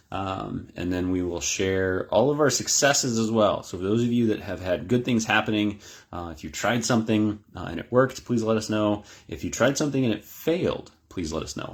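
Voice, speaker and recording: This is a man with a normal speaking voice. His pitch is fairly low, with ordinary pitch variation. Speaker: mealworm farmer and group admin. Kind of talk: live stream Q&A session. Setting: Facebook live video stream. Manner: many filler words (uh, um).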